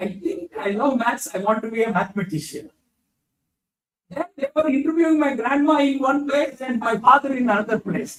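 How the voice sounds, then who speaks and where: The pace is moderate. The intonation is lively. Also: man. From India, Bangalore. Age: 70s. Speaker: physician scientist. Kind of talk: lecture. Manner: halting.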